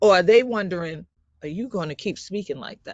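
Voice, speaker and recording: A woman's voice at medium pitch. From South Carolina Sea Islands (Gullah/Geechee, Beaufort County). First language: Gullah. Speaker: community leader and scientist presenter. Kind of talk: presentation. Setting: video call.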